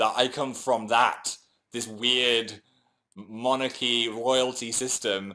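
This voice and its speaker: In a very clean recording with a silent background, a man speaks very slowly at medium pitch, his tone bright and sharp and his pitch varying in an ordinary way. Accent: English. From England. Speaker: YouTuber. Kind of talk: casual chat. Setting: livestream.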